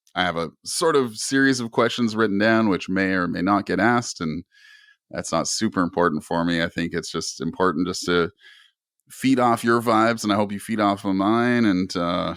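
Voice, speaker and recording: A man with a Canadian accent and fairly low pitch, an ordinary speaking voice, ordinary pitch variation and moderate pace, on a very clean recording with a silent background. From Canada. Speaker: podcast host. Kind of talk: casual interview chat.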